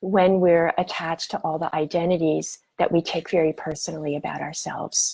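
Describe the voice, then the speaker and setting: A woman's fairly low-pitched voice on a very clean recording with a silent background. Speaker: spiritual teacher. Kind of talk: guided meditation talk. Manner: slow; calm, many hesitations.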